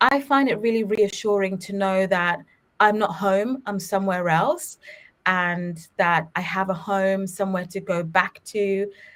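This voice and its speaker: A woman with a British accent at a medium pitch, fairly slow in pace, with ordinary pitch variation. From England, London (Ugandan-born). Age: 30s. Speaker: children's media company co-founder. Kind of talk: podcast interview. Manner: animated.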